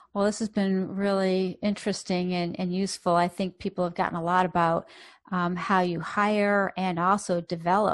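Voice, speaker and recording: With an American accent, a woman speaks in a monotone, flat way over a quiet background. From US, Boston. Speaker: podcast host, psychologist. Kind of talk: interview conversation.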